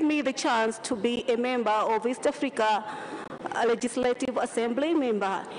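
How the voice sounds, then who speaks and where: A woman's high voice at a fairly slow pace with ordinary pitch variation, over noticeable background noise. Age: 30s. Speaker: parliamentary candidate. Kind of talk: campaign speech. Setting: parliament chamber.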